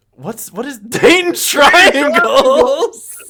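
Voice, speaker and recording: A man speaks loudly. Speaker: sports podcast host. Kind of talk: casual chat. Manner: animated.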